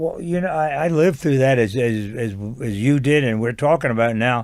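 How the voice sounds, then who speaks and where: At a fairly quick pace, a man with a medium pitch and ordinary pitch variation talks in a plain, everyday voice. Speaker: podcast host. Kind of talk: podcast interview.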